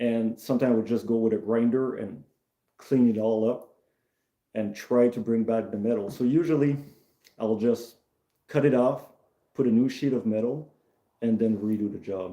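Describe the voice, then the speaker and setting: In a Quebec accent, a man with a dark, mellow tone speaks at medium pitch and a moderate pace, with fairly even intonation and long, frequent pauses. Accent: French-Canadian accent in English. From Canada, Maritimes, Acadian, born in Quebec. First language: French. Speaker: mechanic and streamer. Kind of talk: casual live stream chat. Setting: shed. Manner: halting.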